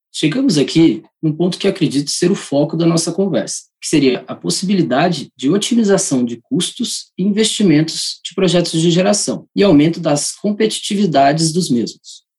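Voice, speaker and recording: The speech moves at a moderate pace with hardly any pauses and lively intonation. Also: man, high pitch for a man. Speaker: energy engineer. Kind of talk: prepared expert interview. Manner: formal.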